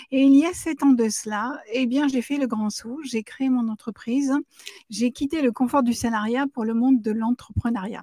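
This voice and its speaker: Her high-pitched voice has a dark, mellow tone and fairly even intonation, heard as a woman in a dry, close sound with no echo. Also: moderate pace. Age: 60s. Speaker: business coach. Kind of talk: live show talk. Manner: hesitant fillers.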